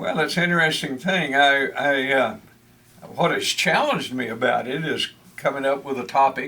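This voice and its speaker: A man with a Texan accent speaks at a moderate pace in a fairly high voice, with ordinary pitch variation and noticeable background noise. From Texas. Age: 80s+. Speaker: retired extension agent and church podcaster. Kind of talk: interview. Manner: halting, many fillers.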